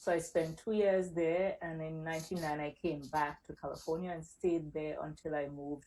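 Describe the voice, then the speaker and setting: A woman's very deep, low voice with a dark, mellow tone, in a Caribbean accent, monotone and flat at a moderate pace, on a very clean recording with a silent background. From Caribbean, Saint Vincent. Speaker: accountant, business owner. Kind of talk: interview.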